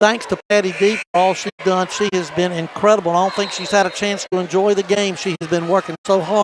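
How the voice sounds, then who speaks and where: This voice carries a Southern US accent. Its intonation stays fairly even. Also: man. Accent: Southern US (Georgia). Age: 60s. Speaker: sports announcer. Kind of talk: live commentary.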